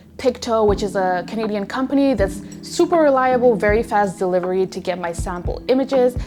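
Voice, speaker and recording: With ordinary pitch variation and a medium pitch, a woman speaks at a moderate pace while noticeable background noise sits underneath. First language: not English. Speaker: photographer and YouTuber. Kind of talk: tutorial. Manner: casual, chatty.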